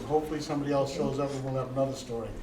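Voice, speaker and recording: A man speaks with fairly even intonation, his voice carrying audible room echo over noticeable background noise. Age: 70s. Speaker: Marine veteran, event host. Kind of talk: moderated talk to live audience.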